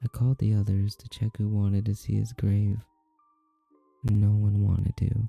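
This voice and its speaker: A soft-spoken man with a fairly low pitch talks at a fairly slow pace in a monotone, flat intonation, with a dry, close sound with no echo and music in the background. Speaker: vtuber, ASMR streamer. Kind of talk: horror story narration.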